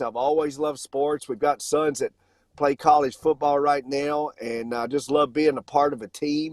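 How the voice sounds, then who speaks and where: With a Southern US accent, a man talks at a moderate pace in a fairly high pitch. The sound is dry and close, with no echo. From US South. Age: 50s. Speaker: financial company founder. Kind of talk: casual chat.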